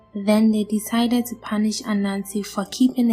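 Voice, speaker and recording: Over music in the background, a soft-spoken woman talks at a moderate pace, her fairly high pitch held in monotone, flat intonation. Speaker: storyteller. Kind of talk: bedtime story narration.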